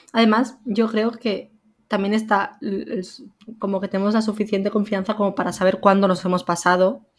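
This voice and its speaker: A woman speaks at a moderate pace in a medium-pitched voice. Her intonation is flat and monotone. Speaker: podcast co-host. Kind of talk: casual chat.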